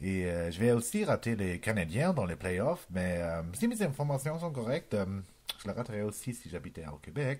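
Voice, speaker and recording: This man speaks with a German accent. His pitch swings very widely. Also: fairly low pitch for a man, moderate pace. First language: German (speaking French). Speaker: comedian. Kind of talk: improvised comedy monologue. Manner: halting, many hesitations.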